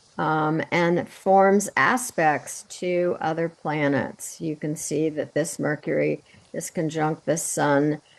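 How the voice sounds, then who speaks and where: A woman speaks in a very deep, low voice with ordinary pitch variation. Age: 70s. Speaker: astrologer. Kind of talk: video call presentation explaining astrology. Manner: halting.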